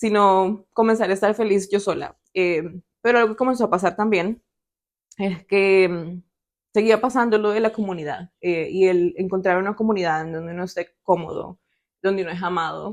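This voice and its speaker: At a moderate pace, a woman speaks at a medium pitch with ordinary pitch variation and big swings in loudness. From El Salvador. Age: 20s. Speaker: podcast guest sharing faith story. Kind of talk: testimony. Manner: hesitant, many fillers.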